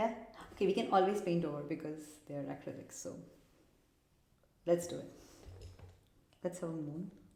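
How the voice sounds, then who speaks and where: A woman with a fairly low pitch and a dark, mellow tone speaks at a fairly quick pace, her loudness swinging widely, her pitch varying in an ordinary way, with long, frequent pauses and audible room echo. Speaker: art video creator. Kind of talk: tutorial. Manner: casual, thinking aloud; mumbling.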